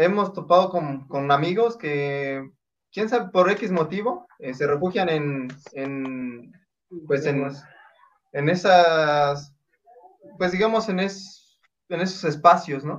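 Long, frequent pauses in very slow speech, pitch moving in a normal way. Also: man, fairly high pitch for a man. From Oaxaca, Mexico. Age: 20s. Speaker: mountain runner. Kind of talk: interview.

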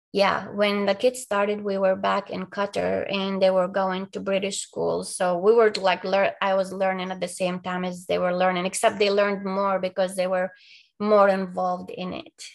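A woman's medium-pitched voice with an Arabic accent, flat and monotone, at a moderate pace with hardly any pauses. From Palestine. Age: 40s. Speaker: abuse survivor. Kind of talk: interview testimony.

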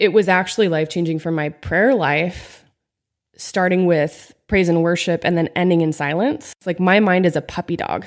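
A woman with an American accent speaks in an ordinary speaking voice, fairly low in pitch, at a moderate pace with ordinary pitch variation, on a very clean recording with a silent background. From Pennsylvania, small town. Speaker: youth minister and worship leader. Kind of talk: casual chat. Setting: studio, own mic.

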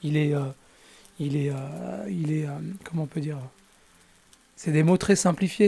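The delivery is fairly slow with ordinary pitch variation. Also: man. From Paris region, France. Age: 50s. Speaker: interviewee. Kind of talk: testimony. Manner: halting.

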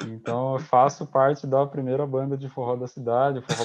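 A man speaks against a quiet background. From Brazil, interior of São Paulo state. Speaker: podcast co-host. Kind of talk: casual chat.

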